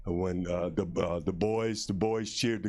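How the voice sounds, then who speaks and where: Audible room echo surrounds a man who talks at a moderate pace with fairly even intonation. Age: 60s. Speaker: school sports representative. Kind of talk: public meeting remarks. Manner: halting, many fillers and repetitions.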